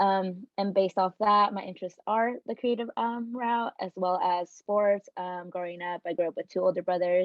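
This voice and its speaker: With hardly any pauses, a woman of medium pitch speaks at a moderate pace and fairly even intonation. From Oregon, Hillsboro. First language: Spanish. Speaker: college student. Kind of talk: self-introduction on panel.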